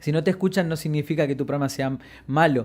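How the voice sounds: Talking fast, a man uses a fairly high pitch and a slightly mellow tone with ordinary pitch variation. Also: very clean recording, silent background.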